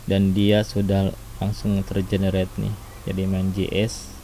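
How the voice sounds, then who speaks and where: Noticeable background noise sits under delivery that moves at a fairly slow pace. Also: man. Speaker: programming tutorial youtuber. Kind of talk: coding tutorial. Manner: casual, with fillers and self-corrections.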